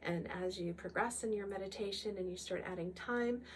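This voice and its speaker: A woman speaks at a moderate pace in a calm, gentle tone, her medium-pitched voice keeping fairly even intonation. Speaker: Kundalini yoga instructor. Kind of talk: guided meditation wrap-up talk. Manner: hesitant, many fillers.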